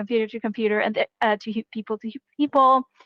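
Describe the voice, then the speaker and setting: Over a quiet background, a woman speaks with ordinary pitch variation, her sound dry and close with no echo. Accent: Korean. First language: Korean. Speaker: game jam organizer. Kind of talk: online panel discussion.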